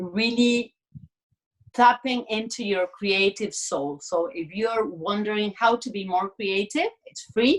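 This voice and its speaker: Speaking very slowly in a fairly high pitch, a woman with a Spanish accent shows big swings in loudness. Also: ordinary pitch variation. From Argentina, Buenos Aires. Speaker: artist and creativity coach. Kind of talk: casual interview chat.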